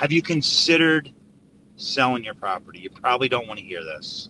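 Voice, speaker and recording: A man's fairly high-pitched voice, bright and sharp in tone, with a dry, close sound and no echo. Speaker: real estate investor. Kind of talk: live stream tips. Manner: fast; halting.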